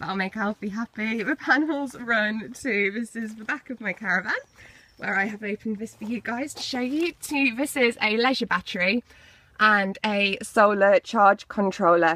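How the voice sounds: A woman with a medium pitch talks at a moderate pace in a bright, sharp tone. Her pitch variation is ordinary.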